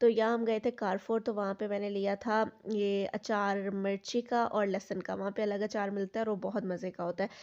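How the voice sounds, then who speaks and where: Speaking at a moderate pace, a woman keeps a medium pitch with monotone, flat intonation. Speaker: vlogger. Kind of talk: casual vlog narration.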